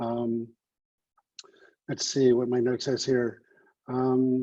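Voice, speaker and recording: Monotone and flat, a man speaks very slowly at medium pitch in a dark, mellow tone. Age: 60s. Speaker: addiction recovery practitioner. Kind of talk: online panel talk. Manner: hesitant, many fillers.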